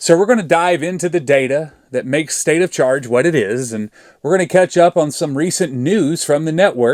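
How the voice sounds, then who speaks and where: The recording is very clean with a silent background. A man with an Arkansas accent speaks at a moderate pace and fairly high pitch, with ordinary pitch variation. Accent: Arkansas Southern. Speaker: EV charging YouTuber. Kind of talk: scripted narration.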